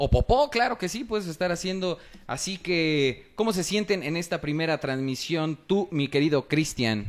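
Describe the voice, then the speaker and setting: With hardly any pauses, a man talks at a moderate pace in a high pitch, his intonation lively. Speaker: podcast host. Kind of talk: casual chat.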